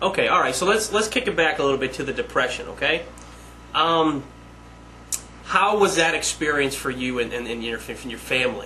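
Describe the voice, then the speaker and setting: Fairly high-pitched male speech, fairly quick and lively in intonation, with long, frequent pauses and noticeable background noise. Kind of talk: casual interviewer.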